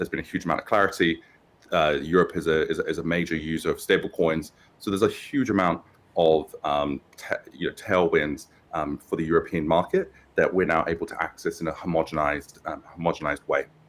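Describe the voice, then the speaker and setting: Talking at a fairly quick clip, a man speaks with a British accent. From UK. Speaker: tech company founder and CEO. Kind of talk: interview. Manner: halting, many fillers.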